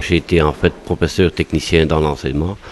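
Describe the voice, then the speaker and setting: Over noticeable background noise, a man speaks with a very deep, low pitch at a fairly quick pace. His intonation is monotone and flat. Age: 50s. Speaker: unemployed former teacher. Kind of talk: interview testimony.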